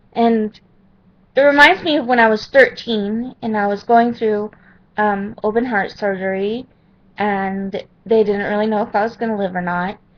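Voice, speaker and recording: A woman has a normal speaking voice with a fairly high pitch. She talks at a moderate pace with ordinary pitch variation. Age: 30s. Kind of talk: personal testimony to webcam.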